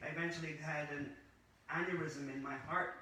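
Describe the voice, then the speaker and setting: A man speaks in a monotone, flat voice at a moderate pace, with audible room echo and noticeable background noise. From Scotland. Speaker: former pharmacist turned holistic practitioner. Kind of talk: interview. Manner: hesitant, with frequent uh fillers.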